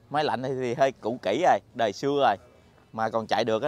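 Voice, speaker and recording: Heard in a dry sound with no echo, a man talks at a medium pitch with ordinary pitch variation. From southern Vietnam. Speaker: vlogger. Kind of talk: casual vlog narration. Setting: outdoors. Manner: animated. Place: market. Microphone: lapel.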